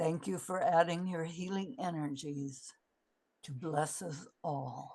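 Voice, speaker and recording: A woman speaks at a very slow pace in a fairly low, somewhat breathy voice. Her tone is dark and mellow. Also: ordinary pitch variation. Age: 80s+. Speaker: therapy method founder and teacher. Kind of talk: conference talk with Q&A. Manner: halting.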